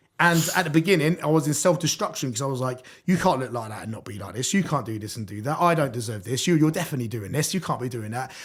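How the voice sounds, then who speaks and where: Somewhat breathy and at a medium pitch, a man talks at a very fast pace with hardly any pauses, lively intonation and big swings in loudness. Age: 30s. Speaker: hardcore music MC. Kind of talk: podcast interview. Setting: podcast with live audience. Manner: halting.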